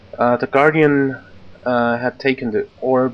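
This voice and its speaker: A man at medium pitch with ordinary pitch variation and a fairly slow pace. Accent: German. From Austria. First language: German. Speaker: let's play gamer. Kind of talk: gameplay commentary reading in-game letter aloud. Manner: halting, many filler sounds.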